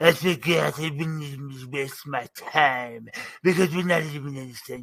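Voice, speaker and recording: A man puts on a character voice. It carries a pompous tone. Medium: actual play. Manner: pompous and gloating.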